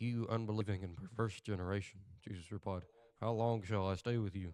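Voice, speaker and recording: In a Southern US accent, the speaker moves at a fairly quick pace with fairly even intonation on a very clean recording with a silent background. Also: man. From US South. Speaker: podcast host. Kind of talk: reading aloud. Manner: halting.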